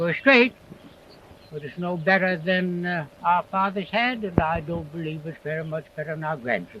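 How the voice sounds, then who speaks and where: A man with an American accent talks at a high pitch in a bright, sharp tone, with ordinary pitch variation and big swings in loudness. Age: 80s+. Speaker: farmer. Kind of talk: interview answer. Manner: slow, rambling.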